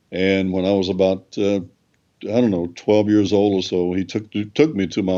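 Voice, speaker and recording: With a Southern US accent, a man speaks at a fairly slow pace in a fairly low pitch, his tone dark and mellow and his intonation fairly even. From US South, North Carolina (Raleigh). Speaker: gospel singer. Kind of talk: interview.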